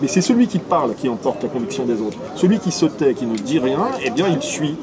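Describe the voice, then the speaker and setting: Loud and fairly quick, a man with a fairly high pitch and very wide pitch swings speaks amid crowd noise in the background and audible room echo. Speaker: nationalist writer and activist. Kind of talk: casual political discussion. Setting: café.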